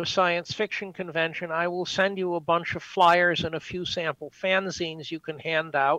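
The man's voice is high, bright and sharp, with fairly even intonation. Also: dry, close sound with no echo. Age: 70s. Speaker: fan club president. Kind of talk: casual chat.

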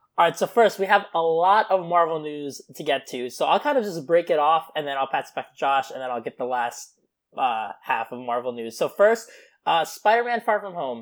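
A moderate pace carries the speech. The recording is very clean, with a silent background. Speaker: podcast co-host. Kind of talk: casual chat, podcast.

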